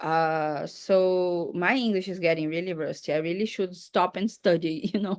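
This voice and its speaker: At a moderate pace, a woman with a Portuguese accent speaks with hardly any pauses. Her pitch is medium and her intonation fairly even. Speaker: English teacher. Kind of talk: casual chat.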